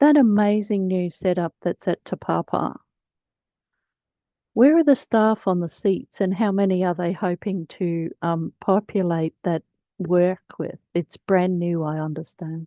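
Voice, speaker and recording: A medium-pitched woman's voice in an Australian accent. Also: ordinary pitch variation. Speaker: webinar host, librarian. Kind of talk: webinar Q&A moderation.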